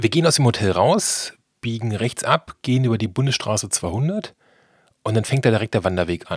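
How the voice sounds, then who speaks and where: Lively intonation from a somewhat breathy man in a very clean recording with a silent background. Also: medium pitch for a man, moderate pace. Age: 40s. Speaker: travel podcast host. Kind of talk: travel narration and interview. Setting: outdoors hiking in the mountains.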